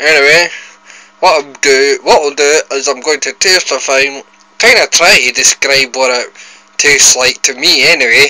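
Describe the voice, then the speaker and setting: Over noticeable background noise, a man with a Scottish accent speaks at a moderate pace and a fairly high pitch. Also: ordinary pitch variation. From Scotland. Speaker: food vlogger. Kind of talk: casual vlog, food tasting. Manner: animated.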